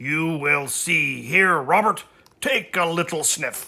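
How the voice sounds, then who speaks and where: A put-on character voice speaks at a middle pitch. It sounds raspy and moves at a fairly slow pace. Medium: read story. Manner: confident.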